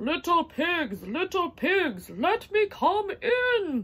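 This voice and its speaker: In a put-on character voice with extremely high pitch, the speaker goes at a very slow pace. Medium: read story.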